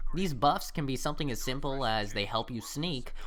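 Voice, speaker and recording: This man's voice has a bright, sharp tone, vocal fry, and very wide pitch swings. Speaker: gaming YouTuber. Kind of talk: scripted game review. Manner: sometimes quiet, some stutters.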